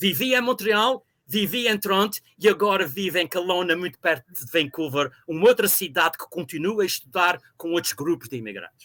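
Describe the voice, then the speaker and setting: High-pitched male voice, bright and sharp, with lively intonation, big jumps in volume, and a dry, close sound with no echo. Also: moderate pace. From Azores, São Miguel (Ribeira Grande). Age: 60s. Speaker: university professor. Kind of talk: interview.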